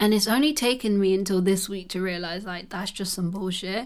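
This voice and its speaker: A woman with a London accent, a fairly quick pace and ordinary pitch variation. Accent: British English (London-style, says innit). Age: 20s. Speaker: podcast host. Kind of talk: casual solo chat.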